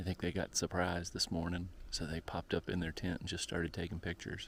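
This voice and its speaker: Quiet and very fast, a man speaks with a very deep, low pitch on a very clean recording with a silent background. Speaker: travel vlogger. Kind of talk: casual vlog narration. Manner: quiet, subdued.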